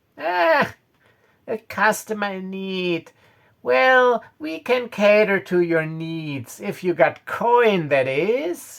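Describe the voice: A squeaky, put-on character voice from a man, high-pitched and very slow, with lively intonation.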